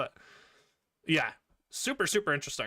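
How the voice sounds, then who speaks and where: Delivered at a very fast pace, the speech has vocal fry and a bright, sharp tone. It comes in a Canadian accent. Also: man. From Canada. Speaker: gaming streamer. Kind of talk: casual chat. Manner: animated.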